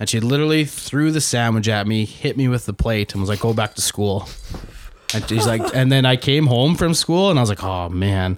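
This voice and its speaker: Over noticeable background noise, a man with a Canadian accent speaks fairly quickly at medium pitch with lively intonation. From Saskatchewan, Canada. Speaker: pharmacist in training. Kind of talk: casual chat.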